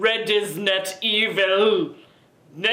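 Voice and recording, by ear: The text is being read aloud. A natural voice does the reading.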